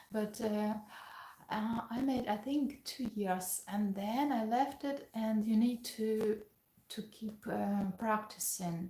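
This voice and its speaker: A woman's somewhat breathy voice, fairly high in pitch with a dark, mellow tone, moves at a very slow pace with fairly even intonation. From Ukraine. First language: Ukrainian and Russian. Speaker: pianist and piano teacher. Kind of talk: casual live-stream Q&A.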